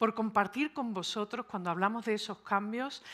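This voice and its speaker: A woman with a Sevillian accent speaks at a moderate pace in a bright, sharp tone with ordinary pitch variation, on a very clean recording with a silent background. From Seville, Spain (born and raised early in New York). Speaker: psychologist and speaker. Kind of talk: conference talk.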